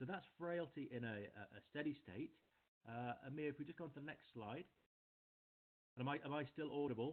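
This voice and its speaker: A man talks at a fairly quick pace, with a fairly high pitch and ordinary pitch variation. His pauses are long and frequent. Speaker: health service presenter. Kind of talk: presentation. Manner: hesitant, many fillers. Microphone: very quiet.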